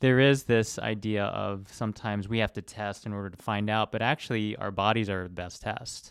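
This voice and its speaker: A man talks at a fairly quick pace with fairly even intonation in an ordinary speaking voice. The recording is very clean, with a silent background. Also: fairly low pitch for a man. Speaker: podcast host, doctor. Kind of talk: interview conversation.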